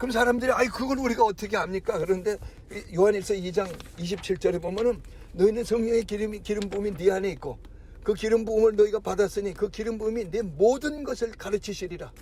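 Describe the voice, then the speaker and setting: This man's pitch is high. He speaks at a very fast pace. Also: ordinary pitch variation. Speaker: pastor. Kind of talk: sermon. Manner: stammering restarts.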